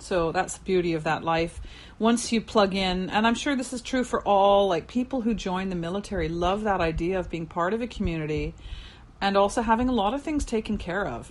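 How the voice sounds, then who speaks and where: A woman talks at a fairly quick pace with lively intonation and a medium pitch. It is a normal speaking voice. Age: 50s. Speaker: podcast host and former teacher. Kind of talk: casual interview chat.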